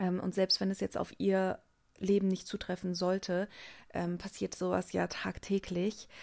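A woman speaks at a fairly slow pace in a medium pitch with monotone, flat intonation, on a very clean recording with a silent background. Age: 20s. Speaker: podcast host and coach. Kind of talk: solo podcast monologue. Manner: hesitant with many fillers.

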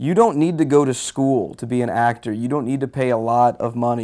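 An ordinary speaking voice with an American accent goes at a fairly quick pace and ordinary pitch variation, recorded very cleanly against a silent background. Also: man. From Houston, Texas. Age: 30s. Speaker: musician. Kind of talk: interview. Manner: casual.

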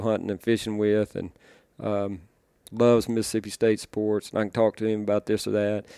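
With an Arkansas accent, a man talks at a fairly quick pace in a fairly low, dark, mellow voice with monotone, flat intonation and a dry, close sound with no echo. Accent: Southern US (Arkansas). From Arkansas, US South. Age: 40s. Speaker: duck call maker. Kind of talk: casual interview.

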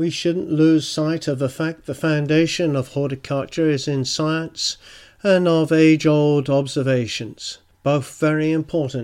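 A man with a British accent, fairly high in pitch and fairly slow, in a very clean recording with a silent background. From UK. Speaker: gardening podcaster. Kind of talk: solo podcast monologue.

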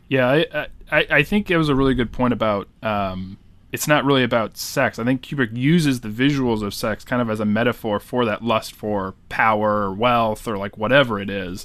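A man with an American accent speaks in a normal speaking voice at a medium pitch. His moderate pace and ordinary pitch variation come across over a quiet background. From New Hampshire, US. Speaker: guest podcast host. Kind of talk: casual chat.

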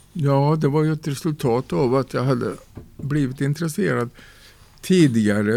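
The voice has a dark, mellow tone and ordinary pitch variation, in a very clean recording with a silent background. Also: man. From Sweden, northern Värmland (Torsby). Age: 70s. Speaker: poet. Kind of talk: interview.

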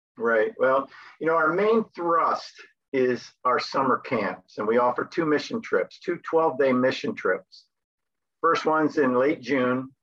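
In an American accent, an ordinary speaking voice moves at a fairly slow pace with lively intonation and very even loudness. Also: man, fairly high pitch for a man. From US Northeast, New Jersey. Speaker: sports missionary, camp sports director. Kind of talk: interview.

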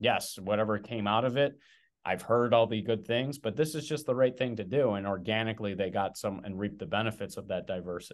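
Here a man speaks at a fairly quick pace with ordinary pitch variation in a normal speaking voice. His pitch is fairly low. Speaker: podcast host. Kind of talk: casual interview.

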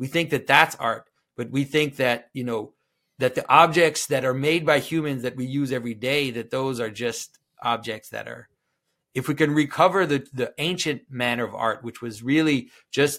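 On a very clean recording with a silent background, a man with a Quebec accent speaks at a moderate pace. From Quebec, French Canada. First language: French. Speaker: liturgical artist and commentator on symbolism. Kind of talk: interview conversation.

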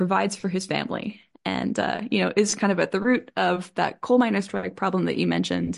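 Moderate pacing from a woman, the background quiet. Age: 30s. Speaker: professor. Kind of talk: interview. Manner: halting.

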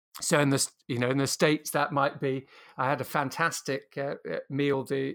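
Recorded very cleanly against a silent background, a man with a British accent talks at a moderate pace and a fairly high pitch. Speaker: strategy author and consultant.

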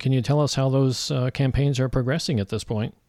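In a very clean recording with a silent background, a man talks in a normal speaking voice at a medium pitch with fairly even intonation. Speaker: podcast host. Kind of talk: interview.

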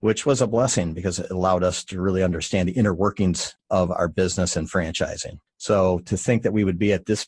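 A speaker with an American accent talks at a fairly quick pace, with hardly any pauses and ordinary pitch variation. The sound is dry and close with no echo, over a quiet background. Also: man. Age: 50s. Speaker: moving company founder and executive. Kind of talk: interview. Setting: remote interview from his office.

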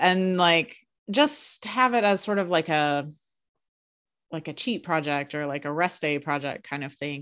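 With a plain, everyday voice, a woman speaks at a fairly slow pace with ordinary pitch variation. The background is quiet. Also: fairly low pitch for a woman. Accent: American. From United States. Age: 40s. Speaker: podcast co-host, librarian and writer. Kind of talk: casual chat.

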